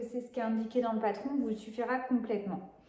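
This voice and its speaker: The room echo is audible. Within it, a woman's voice is heard. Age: 20s. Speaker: sewing vlogger. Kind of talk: casual vlog talk. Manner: hesitant, many filler sounds.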